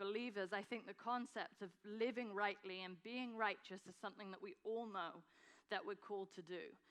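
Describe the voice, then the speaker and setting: A woman speaks at a moderate pace with an English accent. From England. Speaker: nonprofit founder and guest speaker. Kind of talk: sermon. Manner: hesitant, many fillers.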